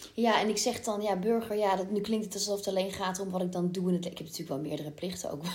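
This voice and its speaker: The speech moves at a very fast pace with hardly any pauses and fairly even intonation. Noticeable background noise runs underneath. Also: woman, medium pitch for a woman. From Brabant, Netherlands. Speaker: musical theatre actress. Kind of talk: casual chat.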